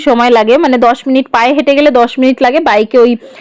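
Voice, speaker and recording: Noticeable background noise sits behind a woman whose voice is pitched high. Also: dry, close sound with no echo. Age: 20s. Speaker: lifestyle vlogger. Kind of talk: casual vlog narration. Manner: chatty, warm.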